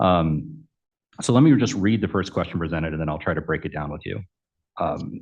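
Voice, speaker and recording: Speaking at a fairly quick pace yet with long, frequent pauses, a man uses a very deep, low pitch. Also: lively intonation. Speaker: election commissioner. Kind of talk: formal meeting questioning. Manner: halting, many fillers. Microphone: too quiet, far from the mic.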